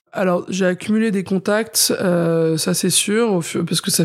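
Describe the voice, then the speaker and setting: With an ordinary speaking voice, a woman talks at a moderate pace and a medium pitch, her intonation fairly even. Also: hardly any pauses, very even loudness. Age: 30s. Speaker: chef. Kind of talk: interview.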